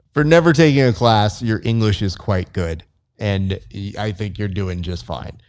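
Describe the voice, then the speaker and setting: A man with an ordinary speaking voice talks at a moderate pace with lively intonation and a fairly low pitch. The recording is very clean with a silent background. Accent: American. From US, Mexican-American. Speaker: podcast host, jiu-jitsu competitor. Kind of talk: casual interview. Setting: jiu-jitsu gym.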